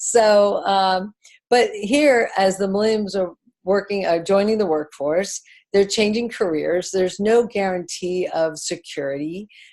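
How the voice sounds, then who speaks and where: This woman has an ordinary speaking voice at a medium pitch. She talks at a fairly slow pace with ordinary pitch variation. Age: 60s. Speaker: network marketing distributor. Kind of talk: business presentation.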